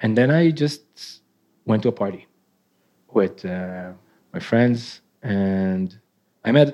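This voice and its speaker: A man with an Israeli accent, fairly low in pitch, at a moderate pace with ordinary pitch variation, in a very clean recording with a silent background. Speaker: artist. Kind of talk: live interview. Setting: stage with audience. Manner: nervous.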